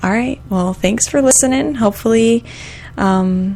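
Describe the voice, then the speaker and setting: Over noticeable background noise, a woman speaks very slowly at medium pitch with ordinary pitch variation. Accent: American. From Michigan, US Midwest. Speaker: podcaster and massage therapist. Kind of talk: casual monologue. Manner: halting, many fillers; soft-spoken.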